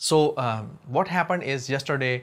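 A male voice is heard. Its pitch moves up and down in an ordinary way. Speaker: design teacher. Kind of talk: tutorial. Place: home room. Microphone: lapel.

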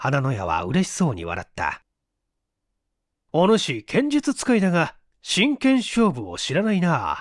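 A man's fairly slow delivery, with long, frequent pauses and big swings in loudness, on a very clean recording with a silent background. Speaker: voice actor; stage actor. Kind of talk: audiobook reading of a mystery story.

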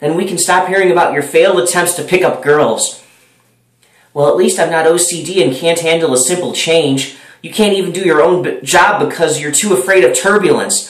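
Against a quiet background, a man speaks at a high pitch with ordinary pitch variation. Room echo is audible. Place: home room. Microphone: webcam.

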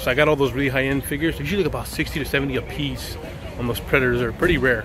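There is noticeable background noise behind a man whose voice sounds dry with no echo. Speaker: toy collector vlogger. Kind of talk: casual vlog chat. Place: market. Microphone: phone near.

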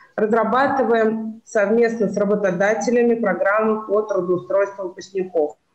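A woman talks at a moderate pace with hardly any pauses and fairly even intonation. Her voice carries audible room echo over a quiet background. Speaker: college educator. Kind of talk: presentation. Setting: video call. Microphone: video call.

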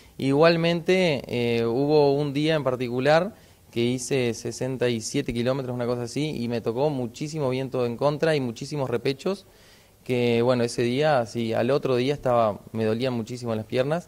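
Ordinary pitch variation from a man, delivered at a moderate pace. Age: 30s. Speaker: inline skater, adventurer. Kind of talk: TV interview; interview answer. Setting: on location in a sports shop. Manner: halting, many fillers. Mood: friendly, relaxed. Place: shop. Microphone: handheld.

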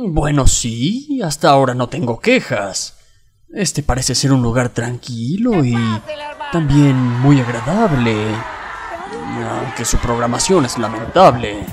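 A gruff put-on character voice, low-to-middle in pitch, delivered at a fairly slow pace with long, frequent pauses. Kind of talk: comic parody dub. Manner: gruff, scornful, swearing.

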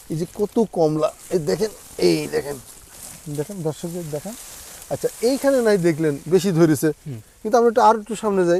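A man speaks with lively intonation. His pitch sits high. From Bangladesh, Meherpur. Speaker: orange farmer and orchard owner. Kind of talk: casual interview during an orchard tour. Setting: outdoors in an orchard.

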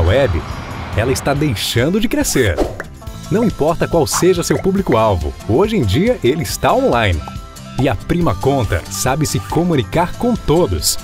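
Clear music plays behind a man speaking at a moderate pace in a medium pitch. His pitch swings very widely, and the sound is dry with no echo. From Brazil. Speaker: voice-over announcer. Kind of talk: corporate video narration. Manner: calm. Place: studio. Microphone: studio mic.

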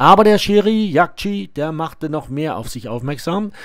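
A man with an ordinary speaking voice talks at a fairly slow pace, his fairly high pitch carried by lively intonation, in a very clean recording with a silent background. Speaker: match commentator for club video channel. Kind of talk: live-style sports commentary over match highlights, partisan toward the Barockstadt side.

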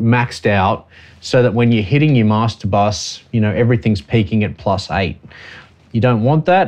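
A man is talking at a moderate pace. His pitch varies an ordinary amount. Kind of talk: tutorial. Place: studio.

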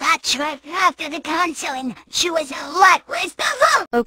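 The voice sits at an extremely high pitch. It moves at a moderate pace. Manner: sarcastic.

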